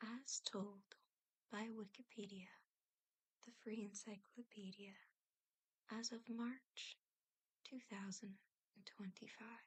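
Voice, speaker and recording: Whispering, a soft-spoken woman talks at a very slow pace. Long, frequent pauses break up her speech. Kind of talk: ASMR whisper reading of encyclopedia trivia for relaxation and sleep. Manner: whispered, soft-spoken.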